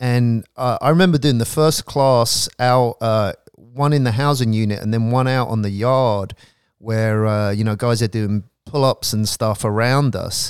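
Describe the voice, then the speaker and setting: Speaking in an unremarkable speaking voice, a man goes at a fairly slow pace with fairly even intonation. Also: medium pitch for a man. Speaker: professor and prison education founder. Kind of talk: casual interview conversation. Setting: home of guest, recorded live in Los Angeles.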